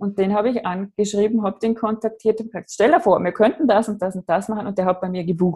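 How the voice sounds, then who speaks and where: Speaking very fast with an Austrian accent, a woman uses a medium pitch, her tone dark, mellow and somewhat breathy. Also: ordinary pitch variation, hardly any pauses. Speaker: online branding coach. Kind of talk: casual chat. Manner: careful standard German.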